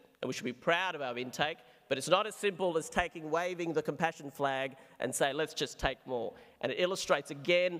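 Over a quiet background, a man with an Australian accent talks at a fairly quick pace with ordinary pitch variation. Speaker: psychiatrist; speaker. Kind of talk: debate speech; formal debate speech. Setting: stage with audience. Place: hall. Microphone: podium.

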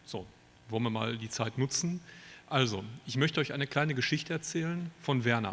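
A man at a fairly quick pace, with long, frequent pauses. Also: ordinary pitch variation. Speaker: politician, Bundestag candidate. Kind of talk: poetry slam speech. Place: hall. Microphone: handheld.

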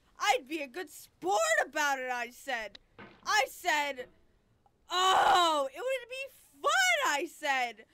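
A raised, projected voice with a bright, sharp tone speaks at a very slow pace, its pitch swinging very widely. Light background noise can be heard. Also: woman, extremely high pitch for a woman. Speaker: gaming youtuber. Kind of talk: gameplay commentary. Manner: animated; loud screaming at times. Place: home room.

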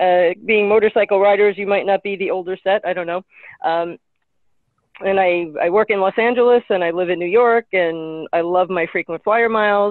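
Speaking at a moderate pace, a woman uses an unremarkable speaking voice with medium pitch and fairly even intonation. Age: 50s. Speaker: nonprofit charity event organizer. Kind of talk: casual chat. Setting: video call.

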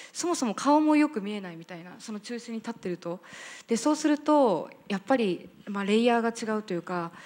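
Here a woman talks at a fairly quick pace. Her pitch swings very widely. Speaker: entrepreneur. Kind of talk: panel discussion. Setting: stage with audience. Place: hall. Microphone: handheld.

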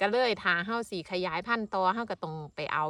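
A woman with an Isan accent speaks in a bright, sharp tone. The background is quiet. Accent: Isan Thai. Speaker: farmer. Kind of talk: casual vlog narration.

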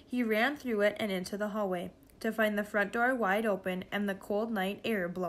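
Reading in an unforced voice, the speaker keeps the intonation fairly even.

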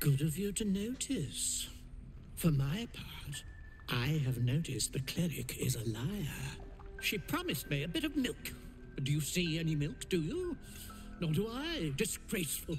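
In a put-on character voice at a middle pitch, the speaker hisses at a moderate pace with long, frequent pauses over clear background noise. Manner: imperious, hissing.

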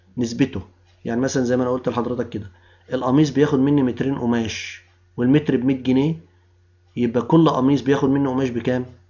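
A man at medium pitch in an Egyptian accent, talking at a moderate pace. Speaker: university lecturer. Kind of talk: lecture. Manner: explanatory, rhetorical questions to students.

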